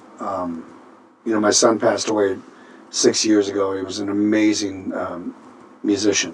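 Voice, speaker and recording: The intonation is monotone and flat, in an American accent. Long, frequent pauses break up the speech. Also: man, fairly low pitch for a man, moderate pace. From Minnesota. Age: 60s. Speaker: singer and band leader. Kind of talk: interview. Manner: halting.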